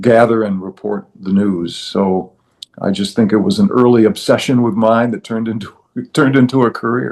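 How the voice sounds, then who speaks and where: An American accent with ordinary pitch variation. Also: man, medium pitch for a man, moderate pace. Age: 60s. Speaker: retired broadcast journalist. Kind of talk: interview. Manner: frequent filler hesitations (uh, um).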